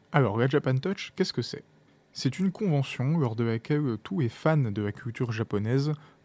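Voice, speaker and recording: Soft-spoken and calm in tone, a man talks at a medium pitch with a dark, mellow tone and ordinary pitch variation. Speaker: podcast host. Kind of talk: interview. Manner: soft, calm podcast voice.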